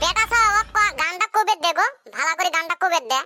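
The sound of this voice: Using a cartoonish character voice, a man talks at a fairly quick pace with an extremely high pitch, a bright, sharp tone and ordinary pitch variation.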